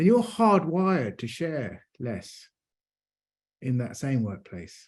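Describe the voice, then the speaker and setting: A man speaks very slowly in a fairly high voice, with very wide swings in pitch. The recording is very clean, with a silent background. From London, England. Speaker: neurodiversity advocate, panelist. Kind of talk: panel discussion.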